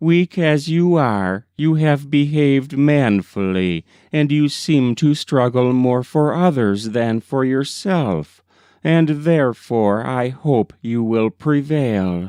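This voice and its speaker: Putting on a character voice, a man talks at a fairly slow pace in a medium pitch. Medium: read story. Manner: gentle, solemn, instructive.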